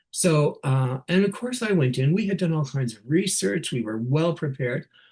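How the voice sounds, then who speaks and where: Speaking at a moderate pace with a Canadian accent, a man uses a fairly high pitch and very wide pitch swings. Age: 60s. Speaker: nurse leader giving a keynote. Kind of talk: keynote talk. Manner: animated.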